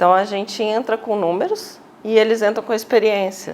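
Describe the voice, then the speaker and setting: With a mineiro accent, a woman speaks with fairly even intonation. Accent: Belo Horizonte (mineiro) accent, noticeable. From Minas Gerais, Brazil (Belo Horizonte). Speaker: finance executive. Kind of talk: TV interview.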